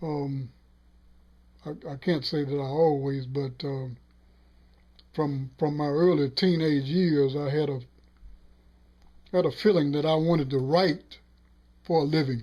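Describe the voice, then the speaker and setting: In a Southern US accent, a man with a fairly high pitch speaks at a fairly slow pace with fairly even intonation and long, frequent pauses. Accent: Southern American English. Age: 60s. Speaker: sportswriter. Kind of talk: interview answer.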